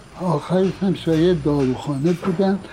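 A man speaks at a fairly slow pace with ordinary pitch variation. Noticeable background noise can be heard. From Iran, Tehran. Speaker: veteran insurance agent. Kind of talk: life story interview. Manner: halting.

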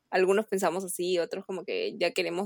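A woman speaks at a fairly quick pace, with a dry, close sound that has no echo. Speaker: university student. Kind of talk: casual chat.

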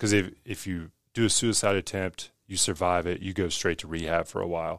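A man's very deep, low voice with an American accent, at a moderate pace and with fairly even intonation, on a very clean recording with a silent background. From West Virginia. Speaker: fitness business owner. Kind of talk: casual interview.

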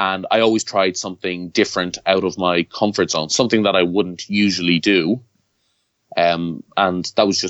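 Speaking in an Irish accent, a man with a very deep, low pitch keeps a moderate pace. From Ireland. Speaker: self-employed mover and T-shirt entrepreneur. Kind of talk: interview.

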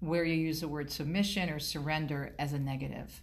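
A woman's fairly low, somewhat breathy voice with an American accent and audible room echo. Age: 50s. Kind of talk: interview.

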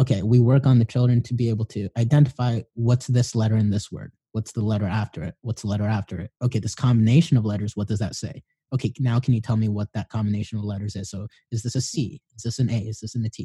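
Very fast delivery in a dark, mellow, somewhat breathy tone, with fairly even intonation and a dry, close sound with no echo. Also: man, medium pitch for a man. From Filipino background. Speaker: podcast host. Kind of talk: casual interview chat.

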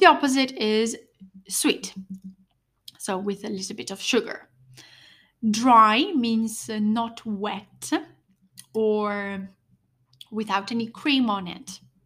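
A woman with an Italian accent and a fairly high voice speaks very slowly with long, frequent pauses and ordinary pitch variation, on a very clean recording with a silent background. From Italy. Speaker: English teacher podcaster. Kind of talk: language lesson.

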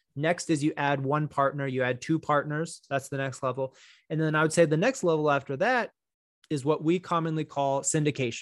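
In a normal speaking voice, a man speaks with fairly high pitch and fairly even intonation. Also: fairly quick pace. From Texas. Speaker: real estate attorney. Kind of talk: educational interview. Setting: video call.

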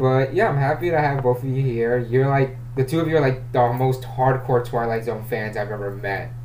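With audible room echo and noticeable background noise, a man of medium pitch talks at a moderate pace, with fairly even intonation and hardly any pauses. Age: 20s. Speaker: podcast host. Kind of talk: casual film discussion.

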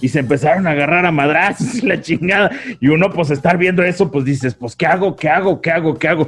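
With music in the background, the speaker goes at a very fast pace and shows ordinary pitch variation. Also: man, fairly high pitch for a man. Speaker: podcast co-host. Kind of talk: casual chat. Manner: animated.

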